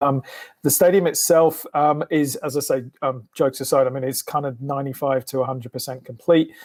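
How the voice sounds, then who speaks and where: A man with an English accent talks at a fairly quick pace, his intonation fairly even. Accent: English accent, often mistaken for Australian. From England. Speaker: sports team public relations executive. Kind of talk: podcast interview. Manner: hesitant, many fillers.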